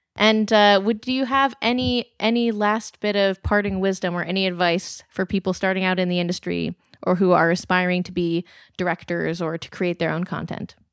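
On a very clean recording with a silent background and a dry, close sound with no echo, a woman speaks in a normal speaking voice at medium pitch and a moderate pace with ordinary pitch variation. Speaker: podcast interviewer. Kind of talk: interview.

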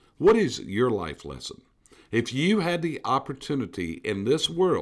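A man with a fairly high pitch and vocal fry talks at a fairly slow pace with very wide pitch swings. His tone is animated, and the recording is very clean with a silent background. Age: 60s. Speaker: business coach. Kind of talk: motivational talk.

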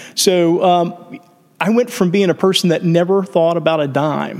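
With fairly even intonation, a man talks at a high pitch. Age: 50s. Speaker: entrepreneur. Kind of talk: casual chat.

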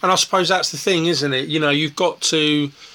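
A man's fairly high voice over noticeable background noise. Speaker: festival interviewer. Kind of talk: casual interview. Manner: hesitant, filler-heavy.

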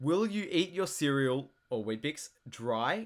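This is a man's voice. He speaks with an Australian accent. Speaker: podcast co-host. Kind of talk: casual chat. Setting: online call.

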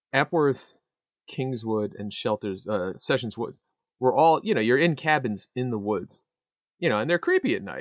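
Dry and close with no echo, this very clean recording with a silent background features a man with a plain, everyday voice at a medium pitch and moderate pace. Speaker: podcast co-host. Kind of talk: casual banter, movie review podcast. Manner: joking, profane.

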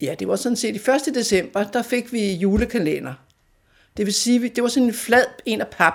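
With vocal fry in her voice, a woman talks using ordinary pitch variation. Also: moderate pace. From North Zealand, Denmark (near Fredensborg). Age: 80s+. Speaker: local history storyteller. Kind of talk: personal reminiscence interview.

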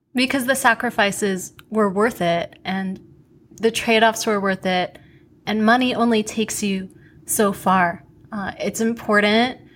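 With an American accent, a woman with an unremarkable speaking voice talks at a fairly high pitch and fairly even intonation. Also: fairly slow pace. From US, New York (Queens). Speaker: podcast host. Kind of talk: interview; scripted announcement.

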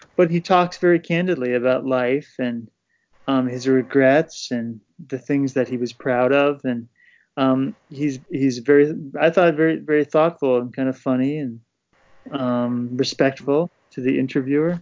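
In an ordinary speaking voice, a man with an American accent and a medium pitch talks at a moderate pace with fairly even intonation. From US Northeast, Poughkeepsie New York. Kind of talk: casual discussion.

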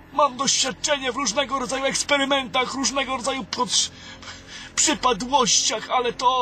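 With music in the background, a man with an extremely high pitch talks at a moderate pace and fairly even intonation. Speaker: weak wizard character in audio drama. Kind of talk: fantasy audio drama, theatrical dialogue. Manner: weary, anxious, formal.

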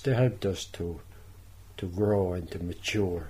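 This man's voice has a dark, mellow tone and sounds somewhat breathy. He speaks at a very slow pace. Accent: Tipperary. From Ireland, Thurles, County Tipperary. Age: 70s. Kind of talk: radio interview.

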